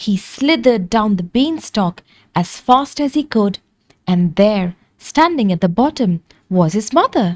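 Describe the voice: The background stays quiet. Someone does plain reading aloud, the intonation lively.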